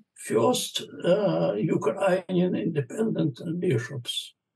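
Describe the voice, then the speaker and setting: A man with a Russian accent speaks at a high pitch and a very slow pace. The background is quiet. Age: 70s. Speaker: bishop. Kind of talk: interview answer. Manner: hesitant, many fillers. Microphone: video call.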